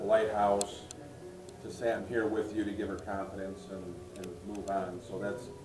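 A man with monotone, flat intonation at a moderate pace, over noticeable background noise. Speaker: local guide or museum volunteer. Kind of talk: storytelling to a group. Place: home room. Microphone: camera far.

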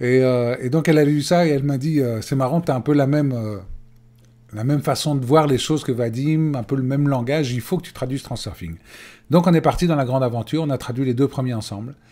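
A man's dark, mellow voice at a fairly quick pace. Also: ordinary pitch variation. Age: 50s. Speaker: life coach. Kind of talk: webinar presentation. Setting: web conference recording. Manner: hesitant, many fillers. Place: home room. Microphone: webcam.

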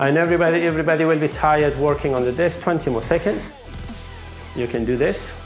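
The speech runs at a very fast pace. Faint music plays in the background. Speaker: fitness trainer. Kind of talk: workout instruction. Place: empty room.

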